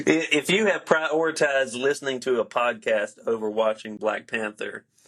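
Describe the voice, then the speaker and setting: A man talks in an ordinary speaking voice at a medium pitch and a moderate pace. His intonation is lively. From upstate South Carolina. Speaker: podcast host. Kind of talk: casual podcast chat.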